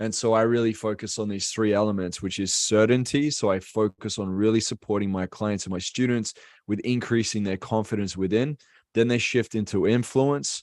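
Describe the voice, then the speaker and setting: On a very clean recording with a silent background, a man with an Australian accent speaks at a fairly low pitch, a moderate pace, and fairly even intonation. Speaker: business coach and speaker. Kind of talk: casual interview.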